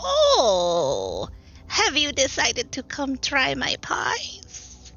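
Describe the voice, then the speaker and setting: A woman in a put-on character voice at a very slow pace. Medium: actual play. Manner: sweetly coaxing, feigned innocence.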